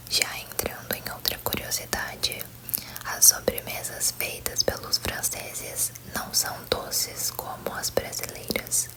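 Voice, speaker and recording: A woman whispers very slowly while noticeable noise fills the background. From Brazil. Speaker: ASMR content creator. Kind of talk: ASMR whispered facts video. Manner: whispered, soft.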